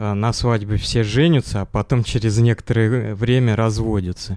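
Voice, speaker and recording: A man speaks at a fairly slow pace with a fairly low pitch, a dark, mellow tone and fairly even intonation. The recording is very clean with a silent background and a dry, close sound with no echo. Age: 40s. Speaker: engineer, church member, former rehab patient. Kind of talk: interview. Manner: halting.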